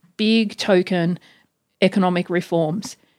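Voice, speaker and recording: A woman with an Australian accent speaks at a medium pitch with fairly even intonation, in a very clean recording with a silent background and a dry, close sound with no echo. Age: 40s. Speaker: academic author. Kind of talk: casual interview.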